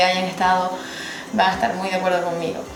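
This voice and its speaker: There is music in the background as a woman with a medium pitch speaks. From Gran Canaria, Spain. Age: 20s. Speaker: former cabin crew. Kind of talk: casual talk to camera.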